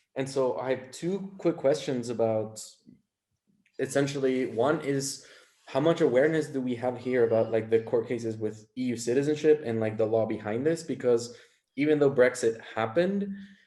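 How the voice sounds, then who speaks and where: A man's dark, mellow voice with an American accent at a moderate pace. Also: medium pitch for a man, ordinary pitch variation. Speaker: audience member asking questions. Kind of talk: audience question.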